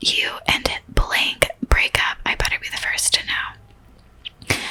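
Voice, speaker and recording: A whisper over noticeable background noise. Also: woman. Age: 20s. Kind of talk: whispered blog reading. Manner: whispered.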